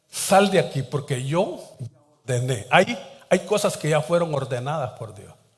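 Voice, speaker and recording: A man with a fairly high pitch speaks at a fairly slow pace in a lively intonation, with big swings in loudness. Audible room echo surrounds his voice. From Latin America, coastal port town. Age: 60s. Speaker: pastor. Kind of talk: sermon.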